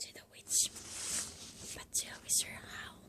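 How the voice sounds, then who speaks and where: A fairly slow whisper amid noticeable background noise. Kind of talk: ASMR book reading, whispered. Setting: close-up recording with some background noise. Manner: whispered, soft.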